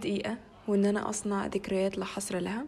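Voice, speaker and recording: Moderate-paced speech in a Cairo accent, monotone, flat intonation, and noticeable background noise. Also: woman. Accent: Egyptian Arabic (Cairo). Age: 20s. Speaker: vlogger. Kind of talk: vlog narration.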